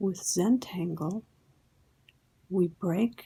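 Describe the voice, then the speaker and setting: Soft-spoken and calm, a woman talks very slowly at a medium pitch with fairly even intonation. Her tone is dark and mellow, and somewhat breathy. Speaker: Zentangle instructor. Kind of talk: instructional ASMR tutorial. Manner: soft-spoken, slow, calm. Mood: calm, gentle, reflective.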